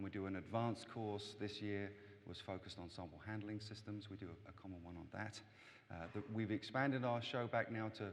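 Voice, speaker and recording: Very fast talk from a man with an English accent, fairly low pitch and fairly even intonation. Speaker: event organizer addressing conference audience. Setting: hall with microphone. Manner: hesitant, many fillers.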